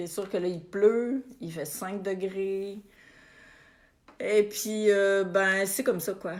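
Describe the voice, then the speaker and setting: A woman with a Quebec accent speaks at a medium pitch and a very slow pace. Her intonation is fairly even, with long, frequent pauses. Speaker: spiritual coach. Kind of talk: live stream chat with viewers. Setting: Facebook live video. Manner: casual, warm.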